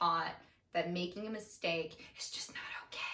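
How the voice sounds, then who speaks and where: A woman talks at a fairly slow pace, noticeable background noise around her. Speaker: podcast co-host, daughter. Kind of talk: casual conversational podcast discussion. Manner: passionate, emotional.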